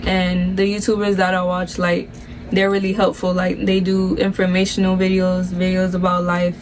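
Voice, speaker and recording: A woman with an American accent in monotone, flat intonation at a moderate pace, with audible room echo and noticeable background noise. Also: medium pitch for a woman, very even loudness. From Miami, Florida, Nicaraguan family. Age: 20s. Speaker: YouTuber, nursing student. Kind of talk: casual Q&A chat.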